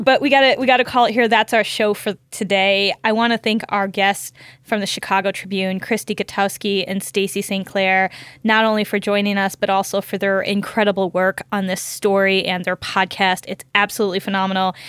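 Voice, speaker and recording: A woman's medium-pitched voice with an American accent, fairly quick and with hardly any pauses, flat and monotone in intonation, on a very clean recording with a silent background. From rural Michigan. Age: 40s. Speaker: lawyer and podcast host. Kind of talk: scripted narration; casual interview chat.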